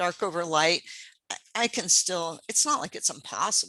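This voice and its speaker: Her tone is bright and sharp. The woman's pitch varies in an ordinary way. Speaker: pastel painting teacher. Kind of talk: live painting demonstration. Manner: fast; casual, hesitant with fillers.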